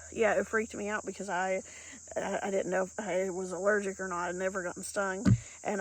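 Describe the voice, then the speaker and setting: In an Appalachian accent, a woman speaks at a medium pitch. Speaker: PhD holder. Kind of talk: casual talk to camera.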